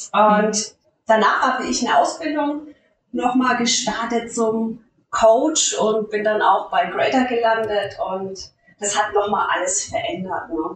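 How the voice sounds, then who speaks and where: Her intonation lively, a woman with a fairly high pitch speaks at a very slow pace. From Lower Franconia, Bavaria. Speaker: life coach, former nurse. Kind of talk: interview.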